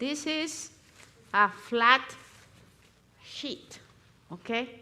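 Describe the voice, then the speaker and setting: A high-pitched woman's voice with a Spanish accent and lively intonation. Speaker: natural remedies instructor. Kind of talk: live demonstration. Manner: halting.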